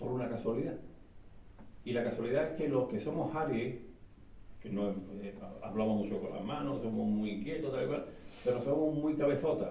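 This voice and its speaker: With audible room echo and noticeable background noise, a man talks at a medium pitch and moderate pace, using ordinary pitch variation and long, frequent pauses. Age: 60s. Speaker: author. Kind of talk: book presentation talk. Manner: animated, hesitant with repetitions.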